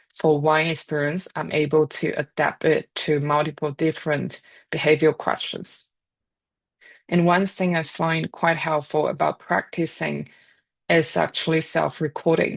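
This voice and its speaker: The speaker has a Chinese accent and a flat, monotone delivery at a fairly slow pace. The sound is dry and close with no echo, over a quiet background. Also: woman, very deep, low pitch for a woman. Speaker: data and AI scientist, speaker. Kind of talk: career talk presentation.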